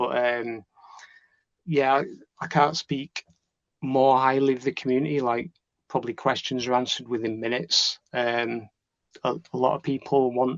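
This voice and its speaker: Against a quiet background, a man speaks with fairly even intonation and long, frequent pauses. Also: dry, close sound with no echo. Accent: Yorkshire. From northern England, Leeds. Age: 40s. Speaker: trading student. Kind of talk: interview. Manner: halting, many fillers and repeats.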